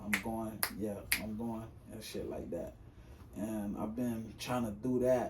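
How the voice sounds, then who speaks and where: A man at a moderate pace, with audible room echo. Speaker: aspiring rapper and singer. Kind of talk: casual interview chat. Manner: halting, many fillers.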